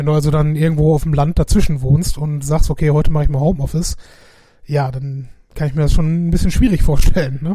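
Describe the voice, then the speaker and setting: A man talks very fast at a fairly high pitch. His tone is dark and mellow, and somewhat breathy. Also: fairly even intonation. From Essen, Ruhr area, Germany. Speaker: podcast co-host. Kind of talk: casual chat.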